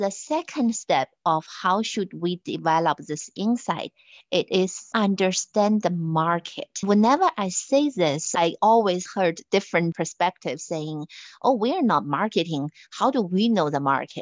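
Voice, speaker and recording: A woman talks with a Chinese accent at a fairly slow pace. Her intonation is lively. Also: medium pitch for a woman. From China. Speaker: finance executive. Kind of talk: interview.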